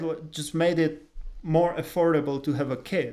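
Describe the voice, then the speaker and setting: With a Czech accent, a man speaks at a moderate pace, his fairly high voice keeping a fairly even intonation. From Czech Republic. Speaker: podcast co-host. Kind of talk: casual chat.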